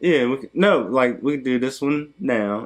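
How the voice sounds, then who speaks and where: A man's voice with ordinary pitch variation. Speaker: YouTuber. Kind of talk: casual chat. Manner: fast.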